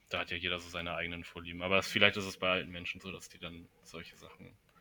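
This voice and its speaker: A man's very deep, low voice with a bright, sharp tone at a very fast pace. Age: 20s. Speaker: university student. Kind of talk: casual chat. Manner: halting, many fillers.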